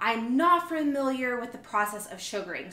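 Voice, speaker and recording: Audible room echo surrounds a woman speaking with a high pitch. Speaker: vlogger. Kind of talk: casual vlog chat. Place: kitchen. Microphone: phone near.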